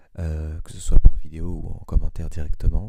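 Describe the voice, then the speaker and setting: A soft-spoken man talks at a fairly slow pace with a very deep, low pitch. His intonation stays fairly even. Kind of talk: soft-spoken ASMR introduction talk. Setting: low-quality microphone. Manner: hesitant, many filler sounds.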